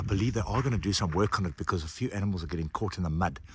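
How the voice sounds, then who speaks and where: A man's very deep, low voice, somewhat breathy, with ordinary pitch movement and a very fast pace. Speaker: overland travel vlogger. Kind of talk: casual travel vlog narration. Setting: outdoors.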